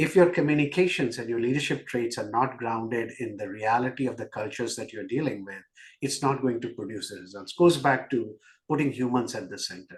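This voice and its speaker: Speaking at a fairly quick pace with an Indian accent, a man sounds somewhat breathy at a medium pitch, with big swings in loudness. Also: ordinary pitch variation. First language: not English. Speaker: business executive. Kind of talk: podcast interview.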